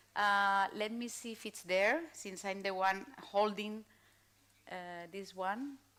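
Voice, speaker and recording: A woman with a Spanish accent, fairly high-pitched and bright, sharp in tone, at a very slow pace in a very clean recording with a silent background. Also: long, frequent pauses, big swings in loudness. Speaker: panel moderator. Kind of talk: panel moderation. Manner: halting, many fillers.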